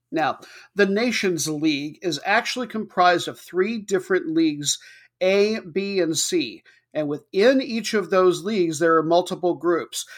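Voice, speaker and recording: The recording is very clean and the background is silent. The speaker talks fairly slowly. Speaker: podcast host. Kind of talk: scripted-style solo soccer match previews, casual and humorous. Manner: jokey, upbeat.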